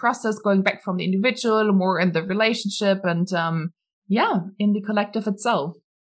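A woman with a German accent speaks with fairly even intonation. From Germany. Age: 20s. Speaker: entrepreneur. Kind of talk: interview.

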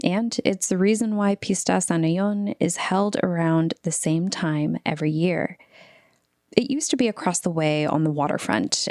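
Recorded dry and close with no echo, a plain, everyday voice with an American accent moves at a moderate pace with ordinary pitch variation. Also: woman. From San Francisco Bay Area, Vallejo, Filipino American. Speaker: radio host and reporter. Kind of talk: scripted narration.

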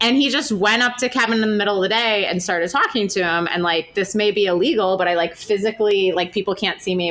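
A woman talks at a very fast pace with ordinary pitch variation. Her fairly high voice comes through noticeable background noise. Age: 30s. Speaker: podcast host and author. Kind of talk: casual interview. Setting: on location at a university.

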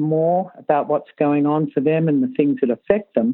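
Her voice very deep and low, a woman speaks with lively intonation and an Australian accent. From Australia, Sydney. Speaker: riding coach. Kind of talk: interview.

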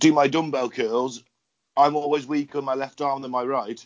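A man with an English accent talks at a moderate pace and a fairly high pitch. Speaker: podcast host. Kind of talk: casual chat. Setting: video call.

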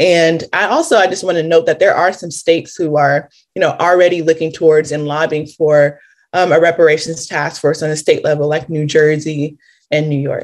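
Speaking at a fairly quick pace with an American accent, a woman uses a very deep, low pitch and fairly even intonation. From Los Angeles, California. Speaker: reparations task force member. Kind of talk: interview.

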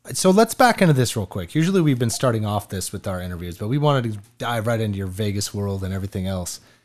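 Talking very fast with hardly any pauses, a man with a fairly low pitch and ordinary pitch variation is heard against a quiet background. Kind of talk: radio-style podcast host patter. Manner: polished, energetic, conversational.

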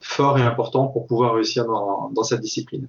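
A man at medium pitch with fairly even intonation. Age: 40s. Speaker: ultra-trail runner and triathlete. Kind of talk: casual interview. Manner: hesitant, with many fillers.

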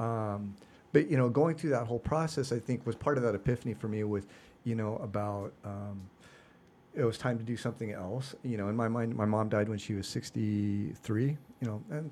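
A man with an American accent in a dark, mellow tone, at a fairly quick pace with ordinary pitch variation. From Seattle, US Pacific Northwest. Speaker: youth cycling league organizer, former banker. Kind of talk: casual interview chat.

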